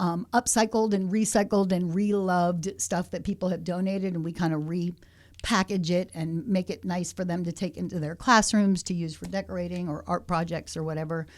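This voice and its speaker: A woman talks at a fairly quick pace with fairly low pitch and fairly even intonation. The recording is very clean, with a silent background. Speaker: artist and theater teacher. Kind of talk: podcast interview. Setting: art center studio. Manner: soft-spoken.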